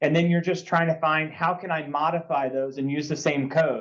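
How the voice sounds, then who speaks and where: A fairly high-pitched man with fairly even intonation, his voice carrying audible room echo. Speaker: coding instructor. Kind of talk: lecture.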